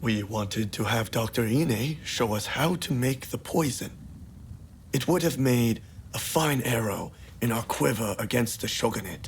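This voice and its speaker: In a put-on character voice, a man speaks at a moderate pace and medium pitch with ordinary variation, over clear background noise. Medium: video game.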